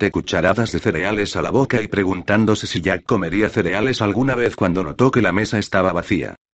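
The clip is delivered in a natural reading voice with ordinary pitch variation.

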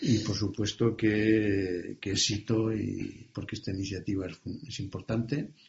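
A man talks with a fairly low pitch and a somewhat breathy quality. His intonation stays fairly even. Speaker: retired bank manager, business adviser. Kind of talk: interview. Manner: halting.

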